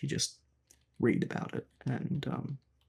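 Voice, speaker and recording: Moderate pace with an Australian accent. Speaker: gaming YouTuber. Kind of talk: casual commentary. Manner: halting, many fillers.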